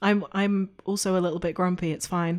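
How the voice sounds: A woman's fairly low voice at a fairly quick pace, with little pitch movement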